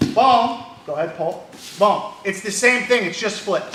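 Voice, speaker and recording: A man raises and projects his high voice at a moderate pace. Noticeable background noise and audible room echo surround him. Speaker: judo instructor. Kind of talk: martial arts class instruction. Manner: loud.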